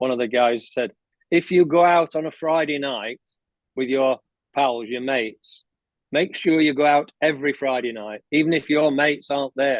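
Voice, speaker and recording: A man with an English accent talks at a moderate pace, his fairly high voice keeping fairly even intonation. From England. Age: 70s. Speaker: golf coach. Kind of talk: podcast interview.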